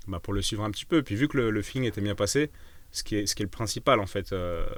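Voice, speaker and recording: The man's pitch is fairly low. He talks very fast. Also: ordinary pitch variation. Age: 30s. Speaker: osteopath and entrepreneur. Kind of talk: casual interview chat. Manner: hesitant, many fillers and repetitions.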